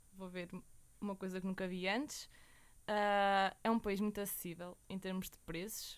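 A woman at medium pitch with monotone, flat intonation, a moderate pace, and big swings in loudness. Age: 20s. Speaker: university student. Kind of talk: interview.

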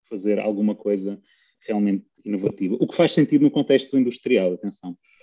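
The man's voice sits at a medium pitch with a dark, mellow tone, and he talks at a fairly quick pace. The sound is dry and close with no echo, over a quiet background. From Russia. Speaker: PhD student and data competition co-founder. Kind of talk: interview. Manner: halting.

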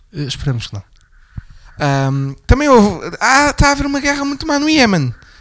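A man talks at a moderate pace, with big swings in loudness and long, frequent pauses. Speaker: political commentary podcast host. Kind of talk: casual political discussion.

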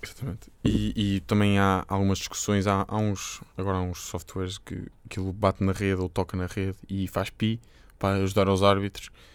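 A fairly low-pitched man's voice with a European Portuguese accent, monotone, flat intonation and a moderate pace, on a very clean recording with a silent background. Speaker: tennis podcast co-host. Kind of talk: casual chat.

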